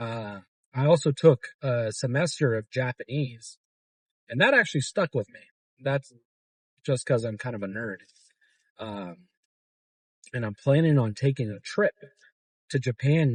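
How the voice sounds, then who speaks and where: At a moderate pace and medium pitch, a man talks with long, frequent pauses, ordinary pitch variation and a somewhat breathy voice in a dry, close sound with no echo. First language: Arabic. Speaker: fitness vlogger. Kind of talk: casual vlog chat. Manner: hesitant, many fillers.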